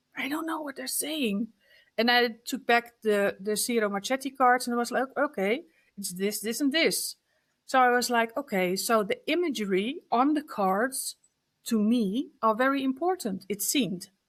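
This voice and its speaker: A woman with a Dutch accent speaks at a high pitch with lively intonation. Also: moderate pace. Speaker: card deck artist. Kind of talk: interview. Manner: halting.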